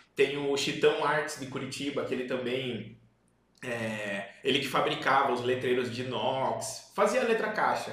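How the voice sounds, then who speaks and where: In a room with audible echo, a man with a medium pitch speaks at a fairly slow pace in an animated tone. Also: ordinary pitch variation. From Paraná, Brazil (Paranaguá). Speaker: visual communication business owner, podcast host. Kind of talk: casual chat.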